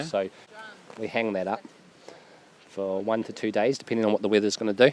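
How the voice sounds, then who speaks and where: A man with a New Zealand accent, fairly low pitch, fairly even intonation and a fairly quick pace, over noticeable background noise. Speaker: seaweed harvester. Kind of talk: interview answer. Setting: outdoors.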